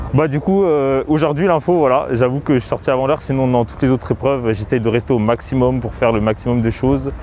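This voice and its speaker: Against noticeable background noise, a man at a medium pitch talks at a very fast pace with hardly any pauses and ordinary pitch variation. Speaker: preparatory class student. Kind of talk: street interview.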